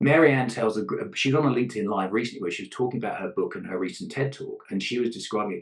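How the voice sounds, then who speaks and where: Speaking very rapidly, the man has a British accent. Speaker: leadership consultant, gender ally. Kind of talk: podcast interview answer.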